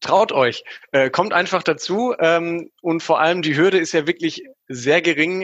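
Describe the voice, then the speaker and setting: At a fairly slow pace, a man uses an ordinary speaking voice with fairly even intonation. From grew up abroad in many countries. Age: 20s. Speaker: infrastructure engineer. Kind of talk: casual chat.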